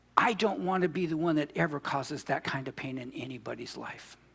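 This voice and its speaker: A fairly high male voice with vocal fry, lively intonation, and a fairly quick pace. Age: 60s. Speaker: pastor. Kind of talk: sermon. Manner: animated.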